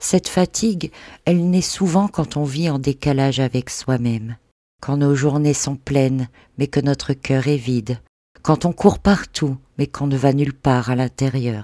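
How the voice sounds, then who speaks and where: Speech unfolds at a fairly slow pace. The background is silent on a very clean recording. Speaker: spiritual podcaster and meditation guide (hypnosis and NLP). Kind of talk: guided meditation / spiritual podcast narration.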